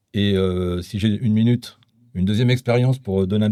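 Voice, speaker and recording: In a very clean recording with a silent background, a man with a fairly low pitch and a dark, mellow tone talks at a moderate pace with fairly even intonation. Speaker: former association president. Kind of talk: podcast conversation.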